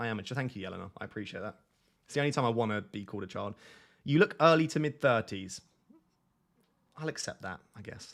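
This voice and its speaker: A man with a British accent talks at a very fast pace, with lively intonation and big swings in loudness. He takes long, frequent pauses. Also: medium pitch for a man. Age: 20s. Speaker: fantasy football streamer. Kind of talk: live stream chat. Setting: live stream on camera. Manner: casual, chatty.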